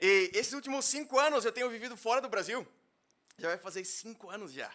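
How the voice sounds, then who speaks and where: A man's raised, projected voice, bright and sharp in tone, with ordinary pitch variation. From Brazil, interior of São Paulo state. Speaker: minister. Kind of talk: sermon. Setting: church.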